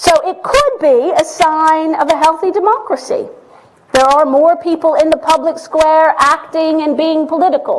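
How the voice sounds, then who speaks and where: A woman with an American accent speaks at a moderate pace in an extremely high pitch, her pitch varying in an ordinary way over noticeable background noise. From Texas. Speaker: professor. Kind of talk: public lecture. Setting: lecture hall with audience and livestream.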